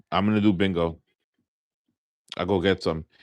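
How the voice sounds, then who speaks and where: Against a quiet background, a man with an American accent speaks in an animated tone at a fairly low pitch. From New York, Long Island. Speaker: live-stream scratch-off gamer. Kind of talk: casual live-stream chat. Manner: casual, animated.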